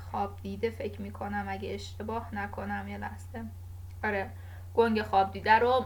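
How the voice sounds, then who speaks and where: Amid audible room echo, a woman with a very deep, low pitch speaks at a moderate pace in a monotone, flat intonation while her loudness swings widely. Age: 20s. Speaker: podcast host. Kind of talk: casual monologue. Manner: halting.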